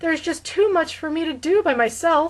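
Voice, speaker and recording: A put-on character voice from a woman, extremely high in pitch, with ordinary pitch variation over a quiet background. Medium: read story. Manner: amiable, fussy, easily startled.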